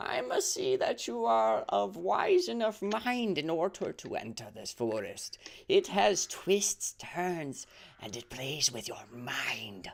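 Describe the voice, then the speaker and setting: In a put-on character voice with a middle pitch, the speaker talks at a fairly slow pace. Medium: actual play. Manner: formal, measured.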